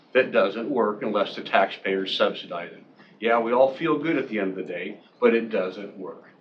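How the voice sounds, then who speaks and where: A man at a medium pitch and a moderate pace, with ordinary pitch variation, big swings in loudness and noticeable background noise. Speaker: public commenter at county meeting. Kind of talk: public comment.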